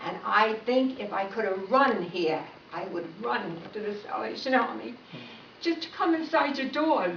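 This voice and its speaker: A woman talks at medium pitch with very wide pitch swings. Noticeable background noise sits behind her. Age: 80s+. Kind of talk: personal testimony.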